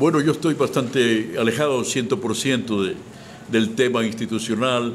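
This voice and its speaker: With audible room echo, a man talks at a medium pitch with ordinary pitch variation. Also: moderate pace. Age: 70s. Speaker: retired cultural official and writer. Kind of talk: interview. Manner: halting, repeats words.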